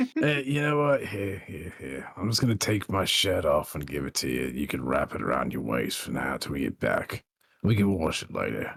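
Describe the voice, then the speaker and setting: Putting on a character voice, a man speaks raspy and fairly low-pitched at a moderate pace. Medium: actual play. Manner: casual, rambling.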